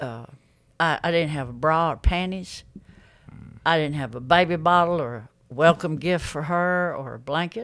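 In an Alabama accent, the speaker moves at a moderate pace, with long, frequent pauses and big swings in loudness. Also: woman, very deep, low pitch for a woman, ordinary pitch variation. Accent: Southern US (Alabama). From Alabama, US South. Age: 60s. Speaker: X-ray tech, recovered addict. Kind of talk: testimony.

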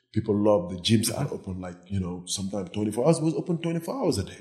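A man's dark, mellow voice moves at a fairly quick pace. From Senegal. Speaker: fitness trainer. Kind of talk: casual interview.

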